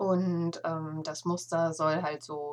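A woman with a fairly low pitch. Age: 40s. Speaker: knitting podcaster. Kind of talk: casual solo podcast monologue. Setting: home attic room.

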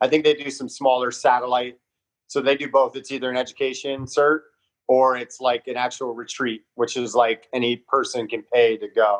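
Speaking in a Southern Californian accent, a man uses a medium pitch and monotone, flat intonation, with big swings in loudness. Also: moderate pace. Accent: Southern California American. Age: 40s. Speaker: performance coach. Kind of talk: casual interview.

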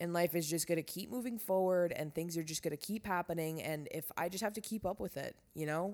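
A woman with an American accent and an ordinary speaking voice, fairly low in pitch, with ordinary pitch variation, at a fairly quick pace with hardly any pauses. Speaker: podcast host. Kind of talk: casual monologue. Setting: lying in bed at home. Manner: casual, filler-heavy.

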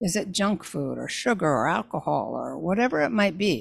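A woman's voice, with vocal fry and very wide pitch swings, comes through in a very clean recording with a silent background. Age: 60s. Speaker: faith-based talent coach podcast host. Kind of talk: solo podcast monologue.

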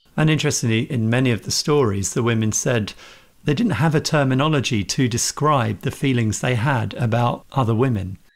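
Speaking in a British accent at a fairly quick pace, a man with a medium pitch keeps his loudness very even and his pitch variation ordinary. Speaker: podcast host. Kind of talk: interview.

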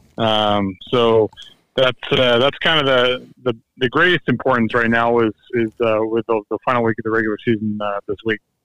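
This is an unremarkable speaking voice, moving at a moderate pace. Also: man, medium pitch for a man, fairly even intonation. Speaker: high school sports insider. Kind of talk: casual chat. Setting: phone call.

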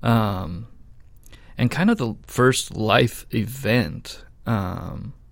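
A man speaks in a plain, everyday voice. His pitch is fairly low, with ordinary variation. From Idaho, US (Boise). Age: 30s. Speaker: church volunteer and security guard. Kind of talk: testimony.

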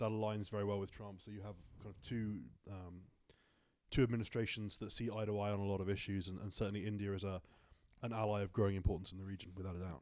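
Over a very clean recording with a silent background, a man speaks at a very fast pace in a fairly low, monotone voice with flat intonation and big swings in loudness. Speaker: panelist. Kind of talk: casual panel discussion.

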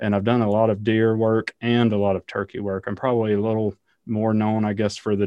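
A man speaks at a fairly low pitch with a Southern US accent. His intonation stays monotone and flat. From Alabama, US South. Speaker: ecologist and university professor. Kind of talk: interview.

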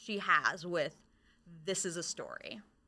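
A woman speaks at a fairly slow pace with an American accent. Her tone is bright and sharp. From Michigan. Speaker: librarian. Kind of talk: casual chat.

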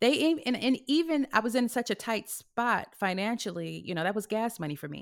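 With an American accent and vocal fry, the speaker swings very widely in pitch and leaves hardly any pauses, in a very clean recording with a silent background. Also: woman, fairly high pitch for a woman, fairly quick pace. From California. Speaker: actress. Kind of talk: casual chat.

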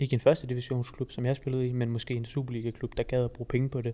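A man talks at a very fast pace in a dark, mellow tone with monotone, flat intonation. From Jutland, Denmark (Fredericia). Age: 20s. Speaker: university student and personal trainer. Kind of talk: casual podcast interview.

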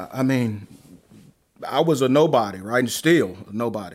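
With a Southern US accent, a man speaks at a medium pitch with lively intonation. The recording is very clean, its background silent. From Alabama. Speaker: pastor. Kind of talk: interview.

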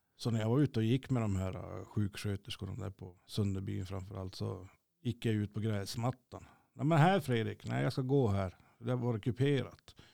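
At a moderate pace, a man with a fairly low voice and a dark, mellow tone is heard on a very clean recording with a silent background and a dry, close sound without echo. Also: ordinary pitch variation. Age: 40s. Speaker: stroke survivor and musician. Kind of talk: casual interview.

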